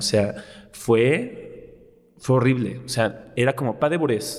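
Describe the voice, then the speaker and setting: A man speaks with ordinary pitch variation. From Mexico City. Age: 20s. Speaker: dance teacher and choreographer. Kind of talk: interview conversation. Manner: animated.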